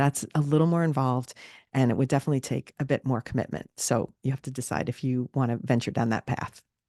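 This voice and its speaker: A woman with a very deep, low pitch and a dark, mellow tone speaks at a very fast pace with fairly even intonation, in a dry, close sound with no echo and a quiet background. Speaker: social media marketing podcast host. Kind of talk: solo podcast tutorial. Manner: casual, conversational.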